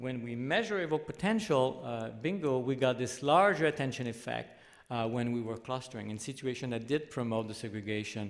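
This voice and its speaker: Talking fairly quickly with hardly any pauses, a man with a Quebec accent speaks at a medium pitch with ordinary variation, and the room echo is audible. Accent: French Canadian accent in English. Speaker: professor. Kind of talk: lecture. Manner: halting.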